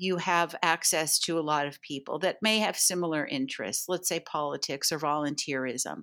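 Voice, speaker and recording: At a moderate pace, the speaker uses a normal speaking voice on a very clean recording with a silent background. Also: woman. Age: 60s. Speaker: matchmaker and dating coach. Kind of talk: casual interview chat.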